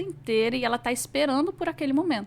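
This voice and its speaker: A woman talking at a very fast pace with lively intonation, on a very clean recording against a silent background. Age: 30s. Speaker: social security law mentor. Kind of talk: podcast interview.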